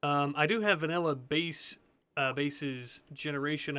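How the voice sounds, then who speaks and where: The man's tone comes across as bright and sharp. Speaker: gaming video creator. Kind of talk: let's play gameplay commentary. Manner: halting, stumbling; casual, thinking aloud.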